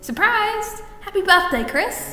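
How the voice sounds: Using a put-on character voice, a woman speaks slowly at an extremely high pitch with big pitch swings and a bright, sharp tone, while faint music plays in the background.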